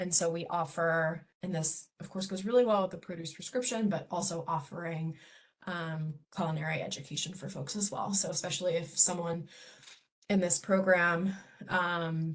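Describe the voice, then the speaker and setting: A woman speaks with a fairly low pitch and fairly even intonation. Her voice is somewhat breathy. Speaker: community health program director. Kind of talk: presentation. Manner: fast.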